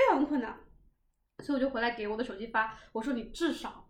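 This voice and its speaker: A woman at a very fast pace. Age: 20s. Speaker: podcast host. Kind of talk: casual chat.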